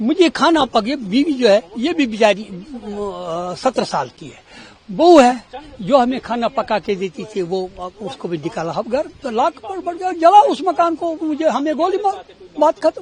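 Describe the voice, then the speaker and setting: A man's extremely high voice swings very widely in pitch and shifts a lot in loudness, with noticeable background noise behind it. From Kashmir, Baramulla. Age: 70s. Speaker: retired schoolteacher. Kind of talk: street interview.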